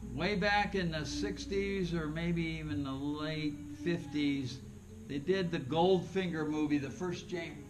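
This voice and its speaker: Speaking at a fairly slow pace, a man with a fairly high pitch and ordinary pitch variation is heard over noticeable background noise and audible room echo. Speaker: yoga teacher. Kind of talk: guided yoga class. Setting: class with students in room. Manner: loud.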